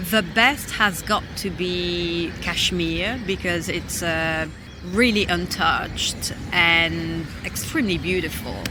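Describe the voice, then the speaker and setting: A woman speaks at a very slow pace with a fairly low pitch and ordinary pitch variation. Audible room echo and noticeable background noise are present. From London, England. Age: 30s. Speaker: traveller. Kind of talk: interview. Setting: outdoors.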